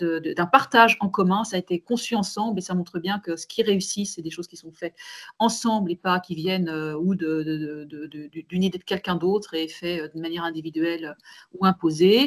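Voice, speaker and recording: This woman talks at a fairly quick pace in a fairly low pitch, with ordinary pitch variation. The sound is dry and close with no echo, and her loudness swings widely. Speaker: manager and webinar panelist. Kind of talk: online webinar discussion. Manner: fast; hesitant, many repetitions.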